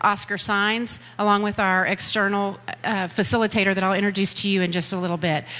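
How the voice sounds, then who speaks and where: Her voice comes across with a bright, sharp tone. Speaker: school district official hosting a meeting. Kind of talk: public address to audience. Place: hall.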